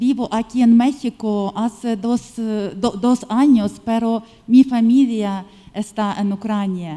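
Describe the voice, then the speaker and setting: This voice moves at a very slow pace with fairly even intonation and a Ukrainian accent. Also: woman, fairly high pitch for a woman. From Ukraine. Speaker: physician. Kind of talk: audience comment. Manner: halting.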